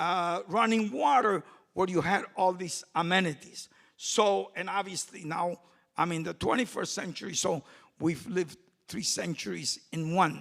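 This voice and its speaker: This man has a Puerto Rican accent. His voice is high-pitched. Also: ordinary pitch variation, moderate pace. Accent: Puerto Rican-Chicago English. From Puerto Rico, raised in Chicago. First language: Spanish. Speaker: community activist. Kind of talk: panel talk. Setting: stage with audience.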